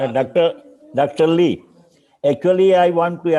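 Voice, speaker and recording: Man with an Indian accent, fairly high pitch, ordinary pitch variation and a moderate pace. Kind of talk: conference remarks. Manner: halting.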